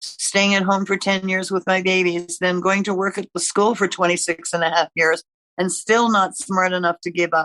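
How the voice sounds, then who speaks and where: Speaking at a fairly slow pace, a woman keeps a fairly even intonation at medium pitch. Her tone is bright and sharp, and the sound is dry and close with no echo. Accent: Canadian. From eastern Canada (Ontario and Quebec). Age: 80s+. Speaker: retired nurse, podcast guest. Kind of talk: casual chat.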